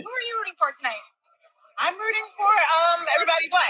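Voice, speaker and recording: A squeaky, extremely high-pitched put-on character voice at a very fast pace. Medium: stage play. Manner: casual, chatty.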